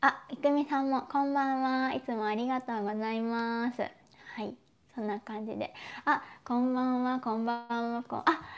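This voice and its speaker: A woman with a high pitch speaks at a moderate pace in a monotone, flat intonation. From Japan. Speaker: YouTuber. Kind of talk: live stream chat. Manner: casual, chatty. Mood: friendly, cheerful. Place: home room. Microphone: lapel.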